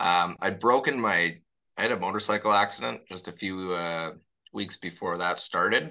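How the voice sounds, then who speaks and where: A man talks in a Canadian accent with a bright, sharp tone. His intonation stays fairly even against a quiet background. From Toronto, Kensington Market. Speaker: former mayoral candidate. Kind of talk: interview. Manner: halting.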